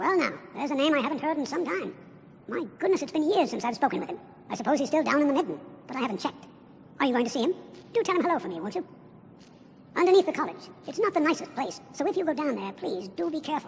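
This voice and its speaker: Someone puts on a high-pitched character voice, talking at a very fast pace broken by long, frequent pauses, over clear background noise. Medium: video game. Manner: warm, gentle.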